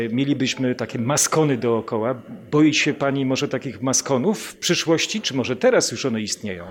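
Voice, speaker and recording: A man with a plain, everyday voice talks at a fairly quick clip at medium pitch, with ordinary pitch variation and hardly any pauses. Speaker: radio interviewer. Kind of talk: interview conversation. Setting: in a palace during an event.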